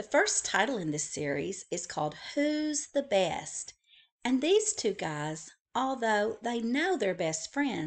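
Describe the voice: This is plain reading aloud over a quiet background.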